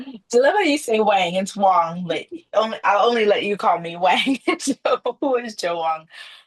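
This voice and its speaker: Lively in intonation, a woman with a fairly high voice speaks at a moderate pace. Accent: Chicago. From Trinidad, raised in Chicago. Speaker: former corporate executive, business owner. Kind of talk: podcast interview.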